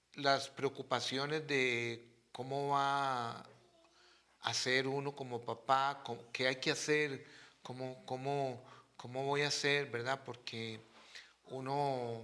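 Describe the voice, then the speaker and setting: At a very slow pace, a man speaks at medium pitch in a bright, sharp tone with monotone, flat intonation. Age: 60s. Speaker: father of the host. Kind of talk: casual chat.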